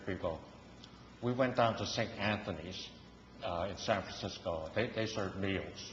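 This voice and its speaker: Speaking at a fairly slow pace, a man with a fairly low pitch is heard with audible room echo. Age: 80s+. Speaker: pastor. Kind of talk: sermon. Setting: church. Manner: halting.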